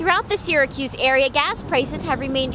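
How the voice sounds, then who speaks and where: Over music in the background, a woman speaks fairly quickly in a high voice with lively intonation. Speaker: television news reporter. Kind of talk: broadcast news reporter package narration.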